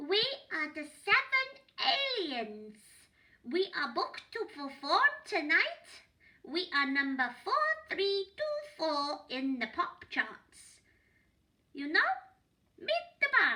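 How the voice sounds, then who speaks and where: A woman in a put-on character voice speaks very slowly at an extremely high pitch, with very wide pitch swings and long, frequent pauses. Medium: read story.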